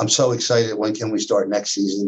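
A man talks at a fairly quick pace in a somewhat breathy voice, keeping his intonation fairly even. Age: 60s. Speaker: college basketball coach. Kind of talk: interview.

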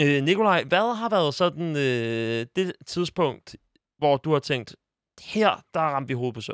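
Lively in intonation and fairly high in pitch, a man is heard in a very clean, dry, close recording with a silent background and no echo. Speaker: football podcast host. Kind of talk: casual chat. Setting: studio. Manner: halting, many filler sounds.

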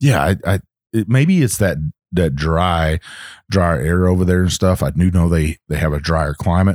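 On a very clean recording with a silent background and a dry, close sound with no echo, a man speaks at a moderate pace in a very deep, low voice with ordinary pitch variation, very even loudness and a slight Texan accent. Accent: Southern US, Texas-tinged. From US South (Texas, Virginia, Kentucky mix). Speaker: whiskey podcast co-host, military veteran. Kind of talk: casual chat.

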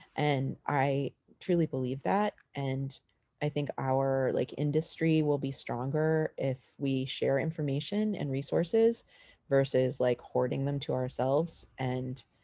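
A woman speaks with a very deep, low pitch and a dark, mellow tone, at a fairly slow pace. Her pitch varies in an ordinary way, and the sound is dry and close with no echo. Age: 50s. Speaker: illustrator and author. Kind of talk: interview.

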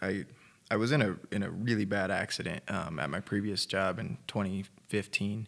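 A man's fairly low voice with vocal fry and ordinary pitch variation. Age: 20s. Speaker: musician in a band, person in recovery. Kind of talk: casual interview chat. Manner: relaxed, casual.

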